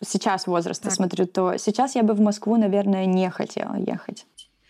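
At a moderate pace, a woman speaks at a medium pitch in a dark, mellow tone with fairly even intonation. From Russian Far East, Magadan. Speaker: immigrant sharing experience. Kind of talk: interview.

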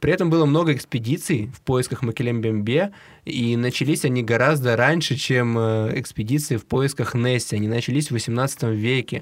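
An ordinary speaking voice, moderate pace and ordinary pitch variation, on a very clean recording, silent background. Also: man, medium pitch for a man. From Siberia. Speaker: podcast co-host. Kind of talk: casual chat.

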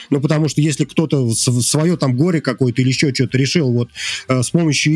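A man rattles along at a very fast pace, his pitch varying in an ordinary way beneath noticeable background noise. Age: 40s. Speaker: indie game developer. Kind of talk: casual chat.

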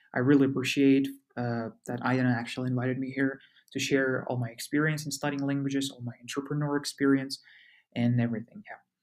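A man talks at a very fast pace in a medium pitch, with a monotone, flat intonation. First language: Russian and Kazakh. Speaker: university student and language enthusiast. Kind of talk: interview. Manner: hesitant, many fillers.

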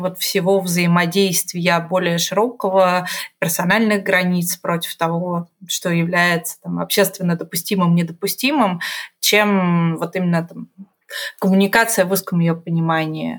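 Using an ordinary speaking voice, a woman talks at medium pitch and a fairly slow pace with fairly even intonation. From Russia, Omsk. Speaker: strategy director. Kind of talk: casual interview chat.

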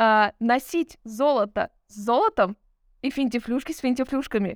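A woman with a high voice speaks in an animated tone. Her pace is fairly slow. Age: 30s. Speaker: podcast co-host. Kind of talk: casual chat.

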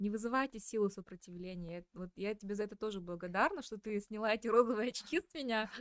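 A woman with a fairly high pitch talks at a very fast pace with hardly any pauses, ordinary pitch variation and big swings in loudness, in a dry, close sound with no echo. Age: 30s. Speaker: podcast host. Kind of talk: interview.

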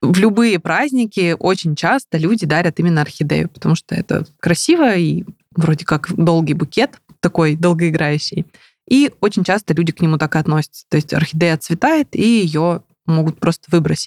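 A woman's plain, everyday voice, fairly low-pitched, at a moderate pace with ordinary pitch variation and a dry, close sound with no echo. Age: 30s. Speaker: plant blogger and biologist. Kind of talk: casual interview.

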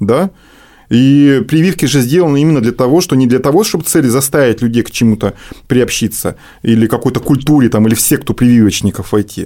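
A man's dark, mellow voice at a fairly quick pace, with very even loudness. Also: medium pitch for a man, ordinary pitch variation. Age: 40s. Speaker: head of pediatric infectious disease ward. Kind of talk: radio interview. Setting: radio studio.

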